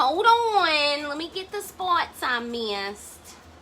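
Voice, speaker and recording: Over noticeable background noise, a woman's raised, projected voice carries an animated tone with very wide pitch swings. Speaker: crafter vlogger. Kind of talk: casual tutorial chat. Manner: loud; chatty, animated.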